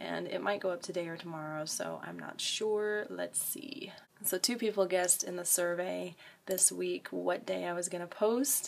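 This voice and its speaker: A quiet woman speaks at a moderate pace amid noticeable background noise. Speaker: vlogger. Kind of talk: casual vlog talk to camera.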